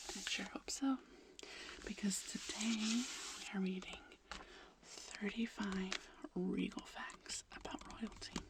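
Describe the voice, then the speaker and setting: A woman's gentle whispering at a very slow pace, long, frequent pauses, and noticeable background noise. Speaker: ASMR creator. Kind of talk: casual chatty intro to camera. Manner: soft-spoken, gentle, intimate.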